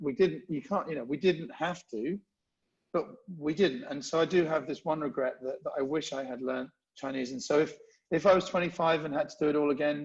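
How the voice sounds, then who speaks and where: Speaking fairly quickly with a London accent, a man uses a fairly high pitch with ordinary variation and big swings in loudness. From England, London. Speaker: event marketing executive. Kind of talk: podcast interview. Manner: halting, many restarts.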